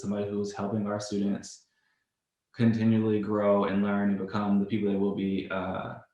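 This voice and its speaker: The voice has monotone, flat intonation, with audible room echo around it. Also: man. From Louisiana. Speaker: podcast interviewer. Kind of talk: interview.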